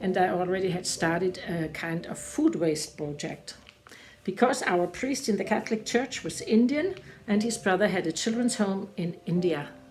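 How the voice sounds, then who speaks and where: With a German accent, a woman speaks at a moderate pace and medium pitch. Her intonation is lively, and background noise is noticeable. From Germany. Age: 70s. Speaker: retired teacher and church volunteer. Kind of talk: testimony. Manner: halting.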